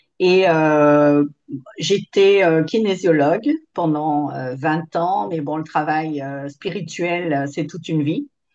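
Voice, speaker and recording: At a very slow pace, a woman speaks with a very deep, low pitch and ordinary pitch variation. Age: 60s. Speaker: former kinesiologist, course participant. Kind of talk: testimony. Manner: hesitant, many fillers.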